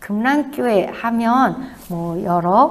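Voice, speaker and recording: A woman's lively intonation comes through audible room echo and noticeable background noise. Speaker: missionary. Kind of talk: sermon. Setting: church.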